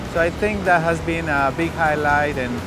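Music plays in the background of a dry recording with no echo. A man speaks over it at a moderate pace. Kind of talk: interview answer. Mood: proud, positive. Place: open country. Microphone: lapel.

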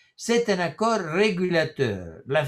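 A man speaks with an Italian accent. His intonation is lively. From Italy. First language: Italian (speaking French). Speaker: professor. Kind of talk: lecture. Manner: halting. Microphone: webcam.

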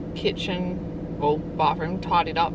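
A woman talks over loud background noise in a dry sound with no echo. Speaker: parent vlogger. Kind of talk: casual vlog chat. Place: car.

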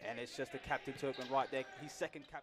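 A man speaks at a very fast pace in an enthusiastic tone. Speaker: co-commentator, analyst. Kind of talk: live sports commentary, colour analysis. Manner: enthusiastic, quick reactive remarks.

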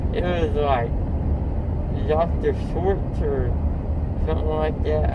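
A man's very slow speech with ordinary pitch variation over loud background noise. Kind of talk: casual drowsy chat. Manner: groggy, slurred post-anesthesia speech. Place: car. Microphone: phone near.

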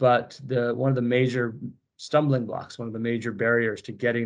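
A man with an American accent speaks at a fairly quick pace. His intonation is monotone and flat, with a quiet background. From United States. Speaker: biotech company executive. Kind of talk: interview. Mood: enthusiastic, measured. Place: home room. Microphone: video call.

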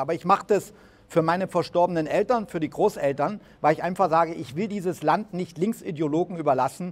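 Talking at a very fast pace, a man with fairly high pitch keeps his intonation fairly even. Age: 70s. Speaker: political commentator and business owner. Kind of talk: speech to an audience; video introduction.

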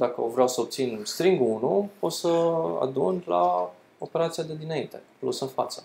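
With a fairly high pitch and ordinary pitch variation, a man speaks in a slightly mellow tone with vocal fry.

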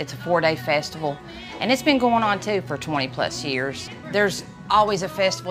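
A woman with an Eastern Kentucky accent at a fairly quick pace, clear music in the background. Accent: Eastern Kentucky Appalachian. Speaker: bluegrass singer and bass player. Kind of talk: interview answer. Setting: outdoors. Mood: warm, proud.

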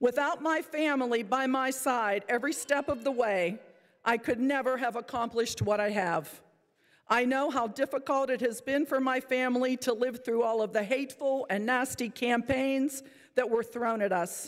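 A woman talks at a moderate pace. Her pitch is high, with ordinary variation. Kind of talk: farewell speech. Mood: emotional, grateful. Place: hall. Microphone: podium.

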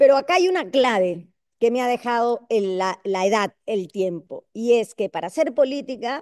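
At a moderate pace, a woman with a fairly high pitch lets it swing very widely against a quiet background. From Peru. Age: 60s. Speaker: congresswoman; panelist. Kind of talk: panel discussion. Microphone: video call.

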